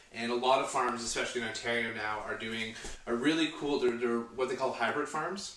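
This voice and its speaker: In a room with audible echo, a man speaks with ordinary pitch variation. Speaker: home cooking show host. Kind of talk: tutorial. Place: kitchen. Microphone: camera far.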